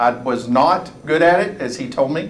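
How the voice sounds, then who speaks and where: A man with an East Texas accent speaks at a fairly slow pace, fairly high in pitch with ordinary pitch variation. Room echo is audible. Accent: East Texas Southern US. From East Texas, US. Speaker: college presidential candidate. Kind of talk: public forum talk. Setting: room with audience, microphone.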